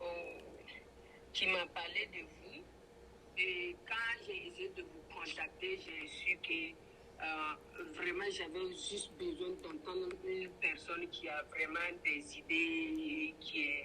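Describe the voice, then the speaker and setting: Over noticeable background noise, a woman with a strong Burkinabe accent speaks at a very slow pace, with long, frequent pauses. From Burkina Faso. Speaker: braider and entrepreneur. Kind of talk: interview. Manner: hesitant, many fillers.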